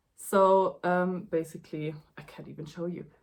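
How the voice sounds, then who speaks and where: This woman talks very slowly. She has a non-native accent. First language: not English. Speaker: knitting youtuber. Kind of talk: casual vlog chat. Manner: halting, many fillers.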